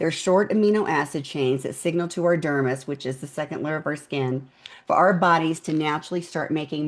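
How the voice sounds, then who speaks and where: A woman with a very deep, low pitch, an animated tone, ordinary pitch variation and a fairly quick pace. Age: 60s. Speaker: skincare business founder. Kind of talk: interview.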